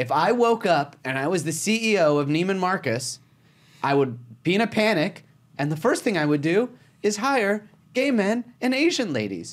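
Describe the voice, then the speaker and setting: On a very clean recording with a silent background, a man speaks loud and animated at a moderate pace, his high pitch making very wide swings. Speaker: comedian. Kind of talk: casual comedic chat, podcast. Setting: studio. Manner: animated, loud.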